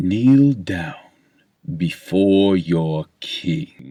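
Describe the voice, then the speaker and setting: Here a man puts on a character voice. His pitch is fairly low for a man. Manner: commanding.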